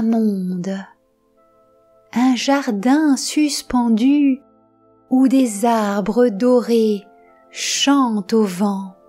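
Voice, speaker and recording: With music in the background, a woman speaks in a calm, soothing tone at a very slow pace, her fairly high pitch showing ordinary variation. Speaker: storyteller. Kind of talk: sleep story.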